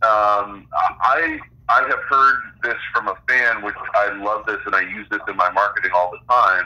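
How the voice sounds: With a bright, sharp tone and fairly low pitch, a man speaks at a fairly slow pace and with fairly even intonation.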